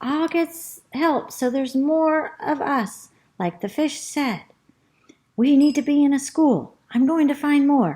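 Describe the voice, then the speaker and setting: In a squeaky put-on character voice, a woman speaks high in pitch and at a fairly slow pace. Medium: read story. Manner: nervous.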